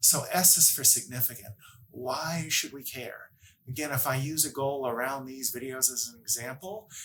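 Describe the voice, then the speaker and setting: In a slight Massachusetts accent, a man with a medium pitch and a bright, sharp tone speaks at a moderate pace, with ordinary pitch variation and big swings in loudness. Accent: slight Massachusetts accent on certain words. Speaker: workplace happiness coach. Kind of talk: educational talk to camera.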